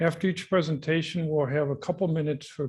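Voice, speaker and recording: With an American accent, a man talks at a fairly quick clip, his voice somewhat breathy and his pitch moving normally, on a very clean recording with a silent background. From US Midwest, Chicago. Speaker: institute director, event moderator. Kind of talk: conference moderation. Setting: conference venue with audience.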